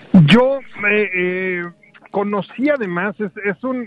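The voice belongs to a man. His pitch shows ordinary variation. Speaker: film festival programmer, university film director. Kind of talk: casual chat, film discussion. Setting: remote call from a noisy place.

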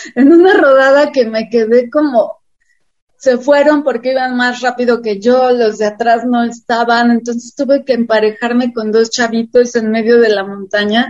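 A woman with a high pitch, a moderate pace and fairly even intonation. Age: 60s. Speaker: cycling activist. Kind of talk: interview.

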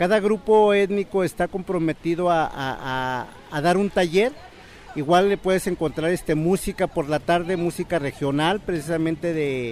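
The man's voice sits high in pitch, with ordinary rise and fall. He talks at a moderate pace. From northern State of Mexico. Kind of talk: recorded interview. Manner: halting.

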